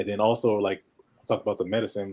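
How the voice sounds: A man talks fast in a fairly low, nasal voice with a dark, mellow tone, a slightly husky edge, and little pitch movement.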